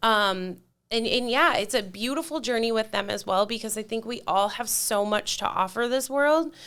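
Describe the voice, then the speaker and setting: Loud and animated, a woman speaks at a moderate pace with a bright, sharp tone. Her fairly high pitch shows ordinary variation on a very clean recording with a silent background. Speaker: mentor for divorced women. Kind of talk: casual chat.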